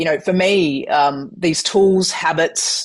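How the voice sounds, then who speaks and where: A woman with an Australian accent speaks in an energetic tone. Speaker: keynote speaker. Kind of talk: interview.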